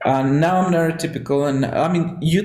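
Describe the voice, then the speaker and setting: A man with a Spanish accent sounds somewhat breathy, with ordinary pitch variation. Room echo is audible. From Mexico. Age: 30s. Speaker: podcast host. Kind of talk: casual chat.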